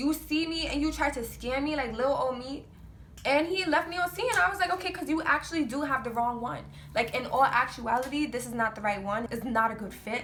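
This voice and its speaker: A woman with an American accent talks at a fairly quick pace and a high pitch, her intonation lively. Noticeable background noise is present. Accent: New York accent, noted by viewers. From New York. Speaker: vlogger. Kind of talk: storytime vlog. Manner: animated.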